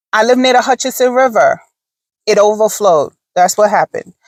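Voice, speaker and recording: Her fairly high voice shows ordinary pitch variation, and the woman's sound is dry and close with no echo. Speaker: vlogger. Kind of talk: casual chat. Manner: slow.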